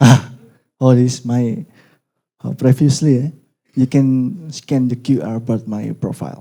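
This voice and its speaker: Using a dark, mellow tone and medium pitch, a man with an Indonesian accent speaks at a fairly slow pace with ordinary pitch variation and long, frequent pauses. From Indonesia, East Java. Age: young. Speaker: lecturer. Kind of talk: lecture. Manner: halting.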